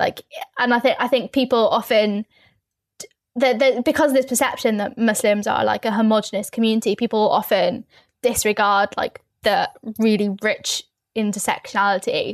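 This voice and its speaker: Speaking at a moderate pace with a London accent, a woman with a fairly high pitch is heard in a dry, close sound with no echo. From East London, England. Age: 20s. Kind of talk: podcast interview.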